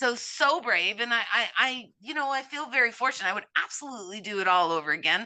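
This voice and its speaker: In a Cape Breton accent, the speaker goes at a very fast pace, bright and sharp in tone with lively intonation. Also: woman, fairly high pitch for a woman, hardly any pauses. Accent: Cape Breton Canadian. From Cape Breton, Nova Scotia, Canada. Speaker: immigration consultant. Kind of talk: interview conversation. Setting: podcast.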